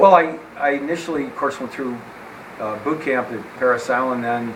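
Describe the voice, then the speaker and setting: A man with an American accent speaks at a medium pitch, with audible room echo and noticeable background noise. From central New York (Syracuse). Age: 70s. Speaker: war veteran and strength coach. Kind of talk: interview.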